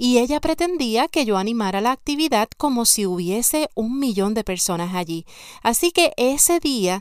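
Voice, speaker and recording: On a very clean recording with a silent background, a woman talks at a moderate pace in a plain, everyday voice. Her pitch is fairly high and her intonation lively. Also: dry, close sound with no echo. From Puerto Rico, San Sebastián. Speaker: podcast host and life coach. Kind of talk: motivational podcast monologue.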